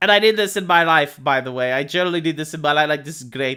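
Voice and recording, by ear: A fast, bright, sharp voice with a clear, smooth tone and ordinary pitch variation, on a very clean recording with a silent background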